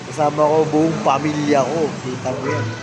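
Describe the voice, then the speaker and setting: Clear background noise plus audible room echo behind a man's voice. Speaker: travel vlogger. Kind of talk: casual vlog narration. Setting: outdoors and in a casino resort, on a trip.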